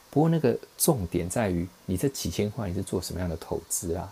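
A man with a Taiwanese accent speaks in a very deep, low pitch. His tone is relaxed, dark and mellow, and somewhat breathy. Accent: Taiwanese Mandarin. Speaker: investing podcaster. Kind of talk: casual monologue. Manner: relaxed, filler-heavy.

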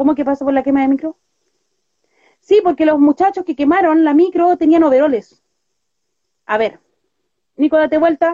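A high-pitched woman with a Chilean accent speaks in a dark, mellow tone with long, frequent pauses, the sound dry and close with no echo. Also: ordinary pitch variation, moderate pace. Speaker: activist. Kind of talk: casual chat.

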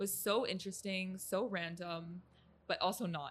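A woman with a Midwestern accent speaks at a moderate pace, using a medium pitch and fairly even intonation. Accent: American Midwest. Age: 20s. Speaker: content creator. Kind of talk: casual chat. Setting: studio.

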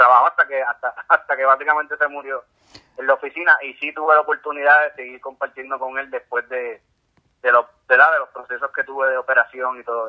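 Very fast, monotone delivery with flat intonation and big swings in loudness. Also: man, fairly high pitch for a man. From Puerto Rico, San Juan. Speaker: ultramarathon swimmer. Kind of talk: interview. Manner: halting.

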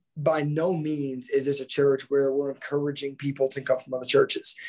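With an American accent, a man speaks in a dark, mellow tone at a fairly high pitch, his intonation monotone and flat. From Missouri, west of St. Louis. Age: 30s. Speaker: youth pastor. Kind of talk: casual interview.

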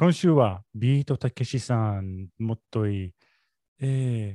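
With an English accent and a dark, mellow tone, a man at medium pitch uses lively intonation over a quiet background in a dry, close sound with no echo. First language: English (speaking Japanese). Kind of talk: casual chat. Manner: halting, hesitant.

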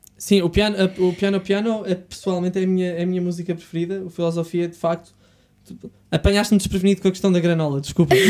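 Speaking at a very fast pace, a man uses a high pitch and a dark, mellow tone in a monotone, flat delivery. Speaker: podcast host. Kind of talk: casual interview chat. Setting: studio.

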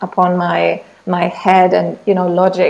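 There is noticeable background noise. Through it, a woman speaks with a German accent. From Germany. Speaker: entrepreneur. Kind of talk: interview.

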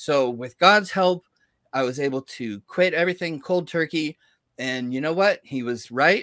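A man speaks in a plain, everyday voice, fairly high in pitch, at a moderate pace with lively intonation. The recording is very clean and dry, with a silent background, a close sound and no echo. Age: 50s. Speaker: personal trainer. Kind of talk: interview.

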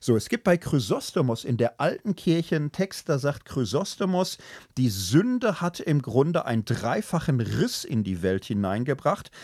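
Vocal fry runs through a man's fairly high-pitched voice, which makes very wide pitch swings at a moderate pace. The recording is very clean, with a silent background and a dry, close sound with no echo. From Germany, Ruhr area (Gelsenkirchen). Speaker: theology professor and podcast co-host. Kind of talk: casual discussion on ethics.

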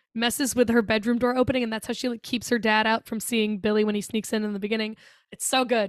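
This very clean recording with a silent background features a woman with a fairly high pitch. She talks at a very fast pace. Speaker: podcast co-host. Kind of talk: casual chat. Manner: animated.

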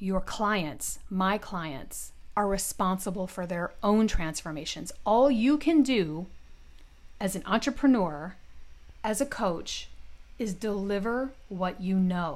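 With an American accent, a woman speaks at a very slow pace and medium pitch, her intonation lively. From US Midwest, Detroit. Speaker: podcast host and business coach. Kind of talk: solo podcast monologue.

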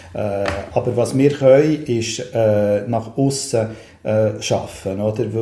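Speaking in a Bernese accent, a man talks at a very slow pace with fairly even intonation. Audible room echo and noticeable background noise are present. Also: medium pitch for a man. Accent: Bernese Swiss German. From Switzerland, Bern. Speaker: city councillor and cultural manager. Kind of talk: casual interview chat. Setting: in a chalet.

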